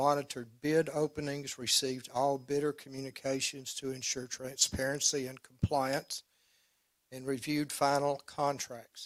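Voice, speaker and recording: A man speaks with an Arkansas accent at a moderate pace. His intonation is monotone and flat. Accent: US Southern, Arkansas. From Arkansas Delta. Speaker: attorney for utility company. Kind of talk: formal opening statement at regulatory hearing.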